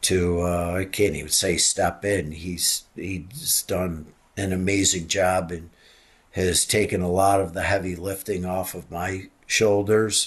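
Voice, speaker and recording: A very deep, low-pitched, somewhat breathy male voice, fairly slow, with monotone, flat intonation. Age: 60s. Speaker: retiring college ice hockey head coach. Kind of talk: interview. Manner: halting.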